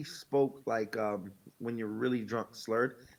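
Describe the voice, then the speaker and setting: A man speaks with a New York accent. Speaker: podcast co-host. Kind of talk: casual chat. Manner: fast.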